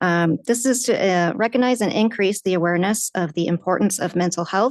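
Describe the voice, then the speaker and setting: A soft-spoken voice at a moderate pace over a quiet background. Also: woman. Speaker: city councilor. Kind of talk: council meeting report.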